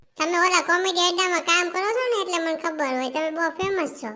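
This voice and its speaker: A woman's cartoonish character voice, extremely high in pitch, at a fairly quick pace. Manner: smooth, persuasive.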